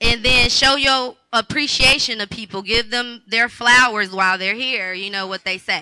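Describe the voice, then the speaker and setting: A woman's high voice at a fairly slow pace with ordinary pitch variation. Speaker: entrepreneur and magazine owner. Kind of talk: panel discussion. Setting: stage with audience.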